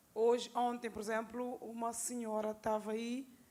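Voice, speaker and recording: At a fairly slow pace, a woman talks with fairly high pitch and fairly even intonation. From Cape Verde. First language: Cape Verdean Creole (speaking Portuguese). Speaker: audience member. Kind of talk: Q&A discussion. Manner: halting.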